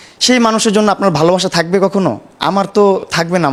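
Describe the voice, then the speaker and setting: There is noticeable background noise. Over it, a man talks with ordinary pitch variation. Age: 20s. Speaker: social media live streamer. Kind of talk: interview.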